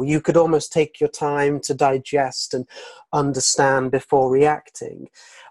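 Speaking at a moderate pace with a British accent, a man has a fairly high pitch. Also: dry, close sound with no echo. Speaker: retail analyst. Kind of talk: casual interview chat.

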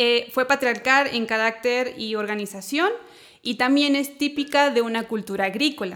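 In a very clean recording with a silent background, a woman talks at a moderate pace in a high pitch with fairly even intonation. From Chile. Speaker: theology teacher and counselor. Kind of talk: casual chat.

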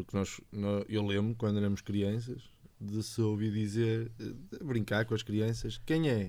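At a fairly slow pace, a man speaks in a fairly low pitch with a dark, mellow tone, fairly even intonation and very even loudness. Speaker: podcast co-host. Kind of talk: casual chat.

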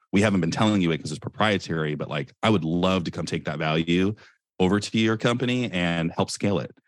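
Speaking very fast with an American accent and ordinary pitch variation, this voice comes through on a very clean recording with a silent background. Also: man, very deep, low pitch for a man. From US West Coast, Silicon Valley. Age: 20s. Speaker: entrepreneur. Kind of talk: casual interview.

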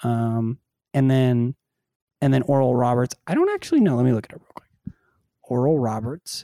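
A man with a dark, mellow tone and fairly even intonation speaks with long, frequent pauses and big swings in loudness, in a dry, close sound with no echo. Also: medium pitch for a man, moderate pace. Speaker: sports podcast host. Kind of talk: casual sports talk show.

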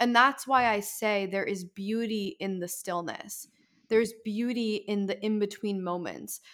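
With an ordinary speaking voice, a woman of medium pitch talks at a fairly slow pace with fairly even intonation. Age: 20s. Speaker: author and content creator. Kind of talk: casual chat.

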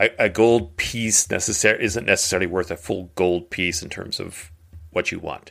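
Pitched low and marked by vocal fry, a man's voice has a fairly bright tone, fairly even intonation and a moderate pace.

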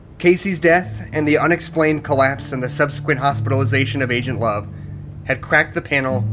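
A man at medium pitch, with lively intonation, a fairly quick pace, and music in the background. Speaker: narrator. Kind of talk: horror fiction narration. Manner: grim, atmospheric storytelling.

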